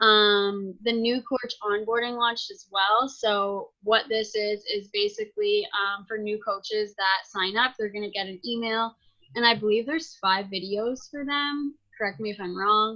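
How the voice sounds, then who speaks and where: Speaking in an ordinary speaking voice at a fairly high pitch, a woman keeps a moderate pace with hardly any pauses, ordinary pitch variation, and big swings in loudness. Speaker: fitness coach team leader. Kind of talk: team video call presentation. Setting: video call with screen share. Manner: many filler ums.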